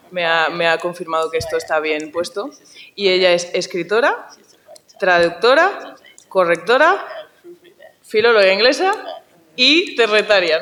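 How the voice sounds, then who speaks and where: Leaving long, frequent pauses, a woman speaks at a medium pitch with lively intonation. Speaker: panel moderator. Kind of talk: panel discussion. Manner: fast; animated.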